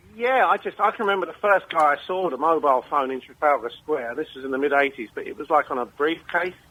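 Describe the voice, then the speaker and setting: Against noticeable background noise, a man with a fairly high pitch talks very fast and with lively intonation, hardly pausing at all. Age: 60s. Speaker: caller. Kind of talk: casual chat.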